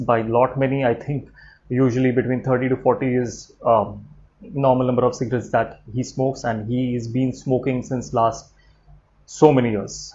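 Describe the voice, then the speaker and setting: A man with an Indian accent speaks at medium pitch and a moderate pace. His intonation is monotone and flat. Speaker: trainer and YouTuber. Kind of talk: personal vlog announcement. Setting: live stream from home. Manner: hesitant, many fillers.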